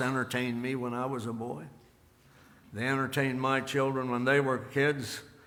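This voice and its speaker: A man speaks at a moderate pace and a medium pitch, his tone bright and sharp, his intonation monotone and flat. Room echo is audible. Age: 80s+. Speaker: pastor. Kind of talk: sermon. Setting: church.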